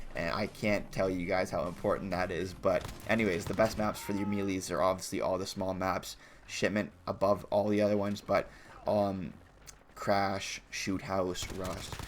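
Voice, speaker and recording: At a moderate pace, a man speaks in a fairly low, flat monotone over light background noise. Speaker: gaming YouTuber. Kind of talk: gaming tutorial. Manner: halting, stumbles over words; casual. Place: home room. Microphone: headset.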